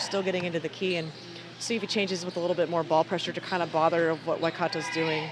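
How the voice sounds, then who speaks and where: Amid noticeable background noise, a man with an American accent speaks at a very fast pace. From United States. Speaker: basketball commentator. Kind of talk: live commentary. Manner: casual, conversational.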